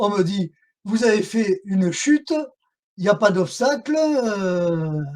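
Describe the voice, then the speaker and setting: A man speaks with a southern French accent, his pitch high and his intonation lively. He talks at a very slow pace, his loudness swinging widely. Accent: southern French (Midi). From southern France. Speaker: whistleblower and association activist. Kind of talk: interview testimony. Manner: hesitant, many fillers.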